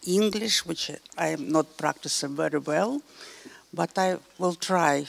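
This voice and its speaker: A woman with a Russian accent at a medium pitch, speaking at a fairly slow pace over noticeable background noise. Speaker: civil society organization head. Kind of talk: panel discussion. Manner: halting.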